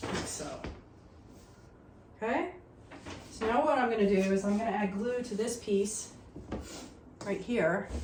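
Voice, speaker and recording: Noticeable background noise behind a mid-pitched female voice. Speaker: laser cutting crafter. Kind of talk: tutorial talk to camera. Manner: casual.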